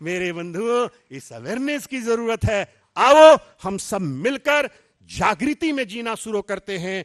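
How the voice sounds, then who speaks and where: An animated tone with lively intonation and big swings in loudness, in a dry, close sound with no echo. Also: man, high pitch for a man. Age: 80s+. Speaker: spiritual speaker. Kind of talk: sermon.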